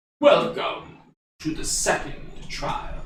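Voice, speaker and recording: A raspy put-on character voice from a man, with a slight echo. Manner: commanding.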